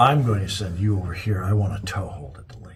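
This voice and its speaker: In a put-on character voice, the speaker rasps along at a very fast pace with big swings in loudness, against clear background noise. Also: man, fairly low pitch for a man. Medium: audio drama. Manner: brusque, commanding.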